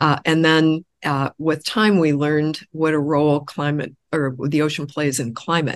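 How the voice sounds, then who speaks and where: Fairly slow, fairly even speech in a Midwestern American accent, very even in loudness and with hardly any pauses. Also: woman, very deep, low pitch for a woman. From US Midwest, Illinois. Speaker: oceanographer, research institute director. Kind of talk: interview. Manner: frequent filler hesitations.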